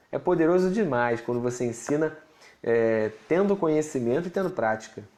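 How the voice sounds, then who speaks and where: Lively intonation runs through a man's fairly high-pitched voice, dark and mellow in tone. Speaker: pastor and Bible teacher. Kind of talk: livestream teaching with Q&A. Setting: live stream.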